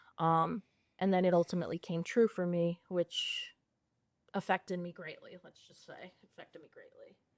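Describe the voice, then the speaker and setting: A woman with a Long Island accent at a moderate pace, big swings in loudness, dry, close sound with no echo, and a very clean recording over a silent background. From US Northeast, Long Island, New York. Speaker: social worker in recovery. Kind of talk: interview conversation.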